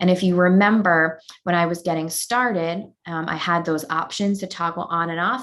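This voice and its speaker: This woman has a Long Island accent and a fairly low pitch. She speaks at a moderate pace. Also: fairly even intonation. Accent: New York, Long Island. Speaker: educational technology presenter. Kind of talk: webinar tutorial. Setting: online webinar.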